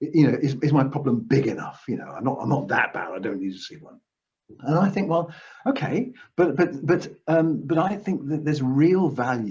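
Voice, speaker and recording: A fairly high-pitched man's voice with vocal fry, very wide pitch swings, big swings in loudness, and a fairly quick pace. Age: 60s. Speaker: counsellor. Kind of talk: interview answers.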